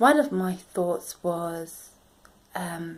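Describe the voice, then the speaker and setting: A woman with a British accent speaks at a very slow pace in a medium pitch. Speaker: self-help vlogger. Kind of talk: motivational vlog talk.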